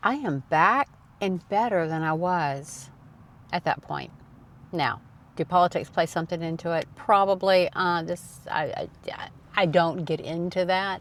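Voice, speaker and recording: A woman with a Southern US accent speaks at a fairly low pitch. She goes at a fairly slow pace, and her pitch varies in an ordinary way. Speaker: personal finance YouTuber. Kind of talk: casual talk to camera. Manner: casual.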